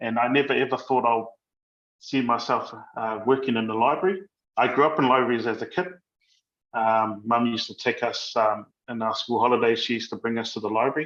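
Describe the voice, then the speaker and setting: The pitch shifts in an ordinary way. The delivery is fairly quick. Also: man, medium pitch for a man. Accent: New Zealand. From New Zealand. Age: 30s. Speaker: library manager. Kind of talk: interview answers. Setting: video call from workplace kitchen. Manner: halting.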